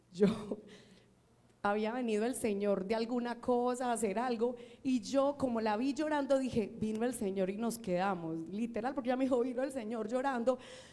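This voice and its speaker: A woman with a high-pitched voice speaks at a moderate pace, with audible echo in the room. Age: old. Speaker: preacher. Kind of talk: sermon.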